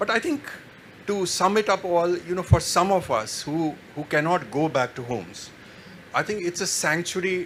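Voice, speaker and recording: A man with a Kashmiri accent at a moderate pace, over noticeable background noise. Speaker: writer. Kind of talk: panel discussion. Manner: halting.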